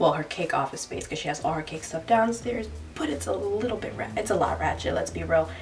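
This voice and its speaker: An animated woman speaking at a fairly quick pace, with noticeable background noise behind her. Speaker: lifestyle vlogger. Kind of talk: casual vlog. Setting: basement at home.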